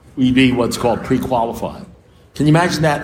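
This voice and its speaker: Audible room echo surrounds a man speaking in a New York accent. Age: 70s. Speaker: recovering alcoholic speaker. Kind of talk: recovery meeting talk. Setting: meeting with audience.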